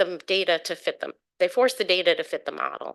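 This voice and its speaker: A woman at a fairly quick pace against a quiet background. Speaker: public commenter at scientific review meeting. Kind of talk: public comment presentation. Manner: fast.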